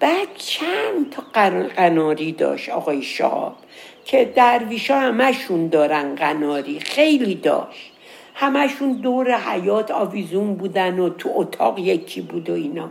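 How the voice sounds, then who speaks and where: Over noticeable background noise, a woman's voice moves through very wide pitch swings. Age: old. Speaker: storyteller. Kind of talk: storytelling. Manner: casual.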